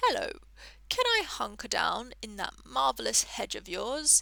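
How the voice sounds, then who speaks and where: At a moderate pace, a loud, croaky, female-sounding put-on character voice plays out over light background noise. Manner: loud, friendly.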